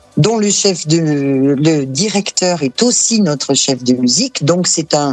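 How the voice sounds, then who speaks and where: Over music in the background, a woman with a very deep, low pitch speaks at a very slow pace, her loudness very even and her intonation lively. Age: 60s. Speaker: association president, accountant and saxophonist. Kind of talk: interview. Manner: hesitant, many fillers.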